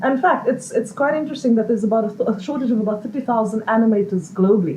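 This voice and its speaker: A woman's fairly high voice, with ordinary pitch variation, rushes along at a very fast pace against noticeable background noise. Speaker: social entrepreneur. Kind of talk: interview. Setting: live event with audience.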